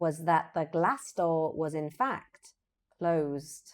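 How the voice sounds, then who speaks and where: A woman with a British accent speaks at a very slow pace in a very deep, low voice, her pitch varying in an ordinary way. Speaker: English teacher. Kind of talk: slow sentence-by-sentence reading for repetition. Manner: clear, slow.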